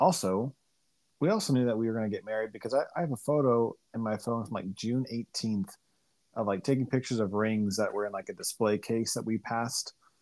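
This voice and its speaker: A man with a normal speaking voice talks at a fairly quick pace and medium pitch, with ordinary pitch variation. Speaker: guest, husband of host. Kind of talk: casual chat. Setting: recording remotely over a call.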